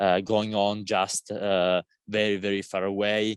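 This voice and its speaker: In an Italian accent, a man speaks at a fairly low pitch. The recording is very clean with a silent background, and the sound is dry and close with no echo. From Italy. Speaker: climate activist. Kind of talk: panel seminar talk. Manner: halting, many fillers and repeated words.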